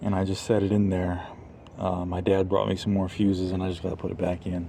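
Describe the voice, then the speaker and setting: A man with a very deep, low voice talks at a very fast pace in a dark, mellow tone, his intonation flat and monotone, with audible room echo. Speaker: vlogger and parent. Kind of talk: casual vlog tutorial. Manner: halting with stutters and fillers.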